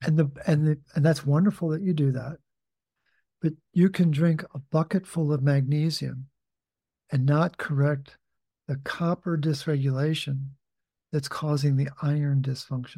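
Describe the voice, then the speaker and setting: A fairly high-pitched man's voice, somewhat breathy and dark, mellow in tone, with fairly even intonation, a moderate pace and long, frequent pauses. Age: 70s. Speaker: nutrition author and consultant. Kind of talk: lab results consultation. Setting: video call.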